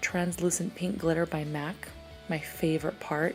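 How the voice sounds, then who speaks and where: A soft-spoken woman talks at a fairly slow pace with a fairly low pitch and ordinary pitch variation. Music plays in the background. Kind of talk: makeup tutorial voice-over.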